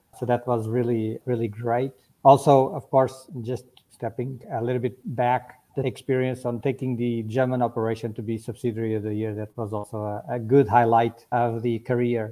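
A man with a dark, mellow tone speaks at medium pitch and a moderate pace, his intonation monotone and flat. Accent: Portuguese. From Portugal. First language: Portuguese. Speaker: technology executive. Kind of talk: interview.

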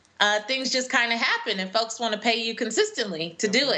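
Noticeable background noise runs under a woman speaking with an American accent. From US West Coast, Los Angeles. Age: 30s. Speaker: personal finance educator and speaker. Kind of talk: interview. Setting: video call.

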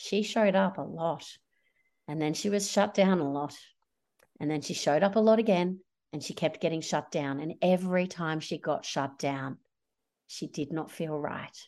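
A woman with an Australian accent speaks at a fairly low pitch and a moderate pace, with an animated tone and ordinary pitch variation. Long, frequent pauses break up her speech against a quiet background. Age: 40s. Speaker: social enterprise founder. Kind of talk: interview.

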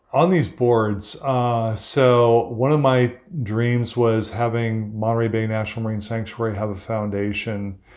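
A man with an unremarkable speaking voice and medium pitch talks at a fairly slow pace, in fairly even intonation, with hardly any pauses. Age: 60s. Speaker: ocean activist. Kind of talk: interview conversation. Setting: at his home.

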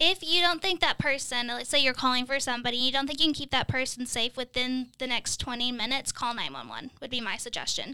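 A woman speaks in a raised, projected voice at a high pitch with fairly even intonation. She goes at a very fast pace with hardly any pauses. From Kentucky. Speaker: crisis line professional. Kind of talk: panel discussion.

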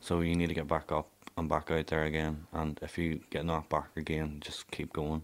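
With a Northern Irish accent, a man speaks at a moderate pace in a very deep, low pitch and a monotone, flat intonation. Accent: Northern Irish (Ballymena). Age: young. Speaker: care-experienced young person. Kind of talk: personal testimony.

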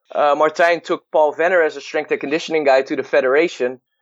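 A man's fairly high voice with a Dutch accent and ordinary pitch variation. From Netherlands. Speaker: baseball hitting and performance coach. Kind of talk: interview.

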